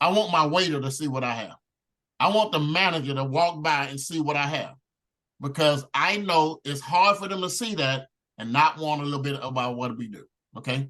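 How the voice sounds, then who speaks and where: Loud and animated, a man speaks at a fairly high pitch and a fairly quick pace, his tone bright and sharp, with ordinary pitch variation. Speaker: network marketing team leader. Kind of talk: training talk.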